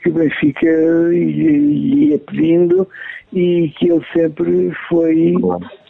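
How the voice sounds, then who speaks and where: A man speaks at a very slow pace with very even loudness. Noticeable background noise runs underneath. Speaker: son of a football legend. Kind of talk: interview.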